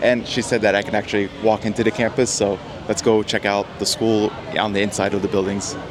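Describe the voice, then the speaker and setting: A very fast-talking man with a New Jersey accent, over noticeable background noise. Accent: American, New Jersey. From US, New Jersey. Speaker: travel vlogger. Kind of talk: casual vlog and street interview. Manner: friendly, animated.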